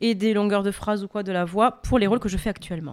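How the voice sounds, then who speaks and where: A woman with a fairly high pitch and ordinary pitch variation speaks in a normal speaking voice. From France. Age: young. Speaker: opera singer. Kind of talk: interview.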